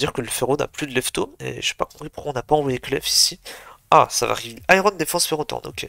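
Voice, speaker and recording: A man at a very fast pace, the sound dry and close with no echo. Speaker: video game commentator. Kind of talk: live commentary.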